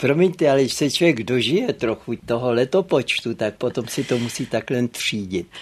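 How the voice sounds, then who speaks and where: Background noise is noticeable behind this man. His medium pitch shows ordinary variation. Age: 80s+. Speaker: literary historian. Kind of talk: interview. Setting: studio.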